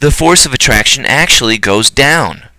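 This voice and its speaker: A man speaks in a bright, sharp tone. Vocal fry runs through his voice. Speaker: high school physics teacher. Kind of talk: recorded lecture. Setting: recorded alone on camera for absent class. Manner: casual; fast.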